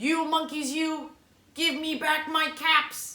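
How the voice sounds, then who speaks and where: Putting on a character voice, a woman speaks fairly slowly at an extremely high pitch in a flat monotone. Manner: scolding.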